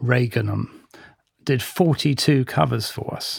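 Here a man speaks in a plain, everyday voice with medium pitch and ordinary pitch variation. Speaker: magazine heritage head. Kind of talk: panel discussion.

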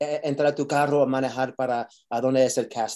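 A man's voice sits fairly high in pitch and carries a dark, mellow tone. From New York. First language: English (speaking Spanish). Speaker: actor. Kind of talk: interview. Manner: halting, code-switching.

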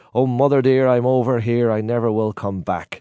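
Over a quiet background, a dark, mellow tone comes through in a Donegal accent at a fairly quick pace. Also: man. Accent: Donegal Irish. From Ireland, County Donegal. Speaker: singer of traditional Irish ballads. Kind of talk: casual chat.

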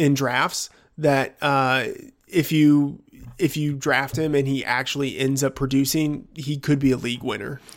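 A man with an American accent and a fairly high pitch talks at a fairly slow pace with fairly even intonation in an unremarkable speaking voice. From Texas, rural area. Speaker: fantasy football analyst. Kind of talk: casual chat.

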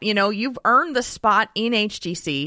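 A bright, sharp tone at a moderate pace comes through in a dry, close sound with no echo on a very clean recording with a silent background. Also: woman. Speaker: Heroes of the Storm insider. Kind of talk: casual interview.

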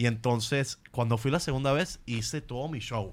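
The intonation stays fairly even at a moderate pace on a very clean recording with a silent background. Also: man. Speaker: comedian. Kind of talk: casual chat.

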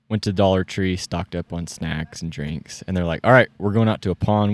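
With an American accent, a man speaks at a very deep, low pitch and fairly even intonation, in a very clean, dry, close recording with no echo and a silent background. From California. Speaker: podcast guest, duck hunter. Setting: outdoors, camping in the mountains.

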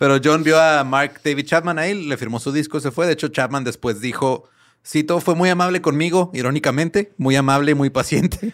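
A man with a normal speaking voice, fairly high in pitch for a man, with ordinary pitch variation and a fairly quick pace, in a very clean recording against a silent background. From Ciudad Juárez, Mexico. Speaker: music podcast guest. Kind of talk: storytelling.

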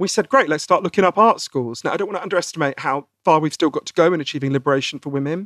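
In a dry, close recording with no echo, a man talks at a very fast pace with lively intonation and a fairly high pitch. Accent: British. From Britain. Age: 40s. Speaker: author. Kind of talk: interview.

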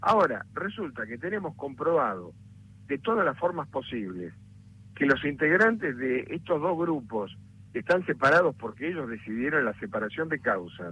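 Vocal fry runs through this man's fairly high voice as he speaks at a moderate pace with very wide pitch swings. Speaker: lawyer. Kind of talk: interview.

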